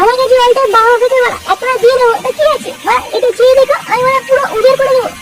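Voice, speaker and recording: Over light background noise, a cartoonish character voice squeaks at an extremely high pitch. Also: fairly quick pace. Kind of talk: comic overacting.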